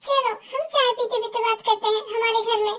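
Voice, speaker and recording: A woman's put-on character voice, squeaky and extremely high, monotone and flat, at a moderate pace. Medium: fan dub. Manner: sweet, affectionate.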